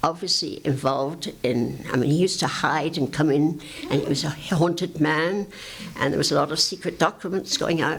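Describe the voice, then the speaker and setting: The speaker has an English accent and ordinary pitch variation. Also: woman. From England. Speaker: advocate for the homeless. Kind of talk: oral history talk to audience.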